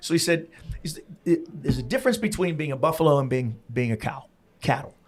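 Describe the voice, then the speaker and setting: Over noticeable background noise, a man with an American accent talks very fast at a fairly high pitch. His pitch swings very widely, and his loudness swings a lot too. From US Northeast, Pennsylvania. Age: 60s. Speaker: podcast host. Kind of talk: casual interview chat. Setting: in-person recording at a venue.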